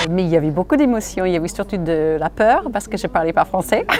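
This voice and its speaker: With lively intonation, a woman speaks at a fairly quick pace over noticeable background noise. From United States. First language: English (speaking French). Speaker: radio host. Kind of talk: interview testimony.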